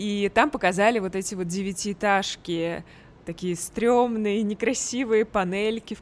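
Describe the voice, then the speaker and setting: At a moderate pace with fairly even intonation, an unremarkable speaking voice comes through a very clean recording with a silent background. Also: woman. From Russia, Tver. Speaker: podcast host. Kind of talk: casual chat.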